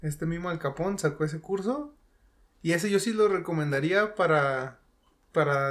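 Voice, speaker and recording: A man with a Mexican accent speaks at a moderate pace, his fairly high pitch showing ordinary pitch variation. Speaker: gamer and content creator. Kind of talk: casual chat.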